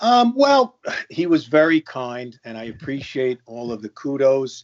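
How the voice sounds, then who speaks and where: Loudness swings widely as this speaker talks at a fairly slow pace in a Long Island accent with ordinary pitch variation. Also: man, fairly high pitch for a man. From US Northeast, Long Island. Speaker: podcast guest. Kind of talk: casual chat.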